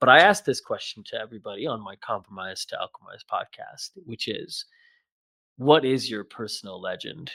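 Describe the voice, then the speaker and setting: A man with an American accent talks at a fairly quick pace, his loudness swinging widely. The sound is dry and close, with no echo. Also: very clean recording, silent background. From US Midwest, near Chicago. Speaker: podcast host. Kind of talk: casual interview chat. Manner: halting, many restarts and fillers.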